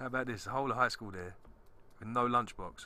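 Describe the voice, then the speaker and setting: A man with a London accent, a bright, sharp tone, ordinary pitch variation and a fairly quick pace. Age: 30s. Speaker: podcast host. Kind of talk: casual chat.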